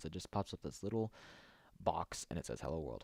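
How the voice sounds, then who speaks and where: Speaking at a fairly quick pace, a man uses lively intonation in a dry, close sound with no echo. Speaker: programming tutorial maker. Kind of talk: screen-recorded tutorial. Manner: fast; halting, many fillers and restarts.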